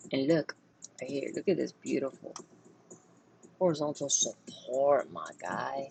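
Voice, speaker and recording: The speech comes at a fairly slow pace over noticeable background noise. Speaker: crypto trading analyst. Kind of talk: chart analysis tutorial. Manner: animated.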